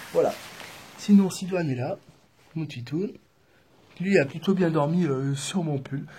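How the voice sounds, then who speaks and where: A soft-spoken man talks in a fairly high voice with a dark, mellow tone and ordinary pitch variation. Long pauses come often. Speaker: vlogger traveling on foot. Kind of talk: casual vlog to camera. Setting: indoors in a building entrance hall. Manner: hesitant, many fillers.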